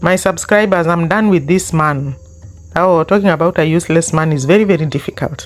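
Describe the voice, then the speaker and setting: The speaker has a Kenyan accent and keeps a moderate pace. Music can be heard in the background. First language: Luo. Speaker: YouTube commentary host. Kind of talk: online commentary rant. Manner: animated.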